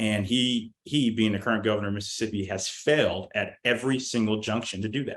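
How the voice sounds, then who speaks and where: In an ordinary speaking voice, a man with an American accent talks at a fairly quick pace and medium pitch, with hardly any pauses. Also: fairly even intonation. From Deep South, USA. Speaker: Marine veteran and political operative. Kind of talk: podcast interview answer.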